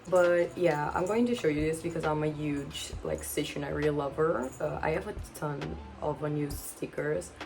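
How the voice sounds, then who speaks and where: With music in the background and audible room echo, a woman in a Portuguese accent speaks at a moderate pace. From Portugal. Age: 20s. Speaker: booktuber. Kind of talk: casual vlog talk to camera. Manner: chatty, rambling with fillers.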